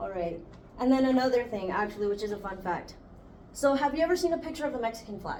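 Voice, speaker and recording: Rushing at a very fast pace, a woman talks with audible room echo and noticeable background noise. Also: fairly high pitch for a woman, lively intonation. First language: Spanish. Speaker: student podcast host. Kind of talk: casual chat.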